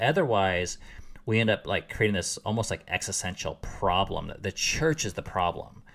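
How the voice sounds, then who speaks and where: Very clean recording with a silent background, a man with an unremarkable speaking voice, fairly low pitch, lively intonation and a fairly quick pace. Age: 30s. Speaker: podcast host. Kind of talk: casual chat.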